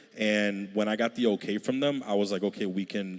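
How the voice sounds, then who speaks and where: A man's fairly low-pitched voice, an unremarkable speaking voice, at a fairly quick pace. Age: 30s. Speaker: church creative director, panelist. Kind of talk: panel discussion.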